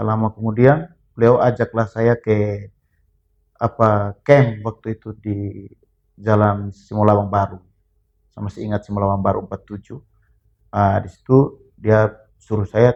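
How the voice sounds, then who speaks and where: Speaking at a moderate pace, a man uses a fairly low pitch and monotone, flat intonation, with big swings in loudness. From Flores, East Nusa Tenggara (Bajawa, Ngada). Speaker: former boxer. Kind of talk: casual interview.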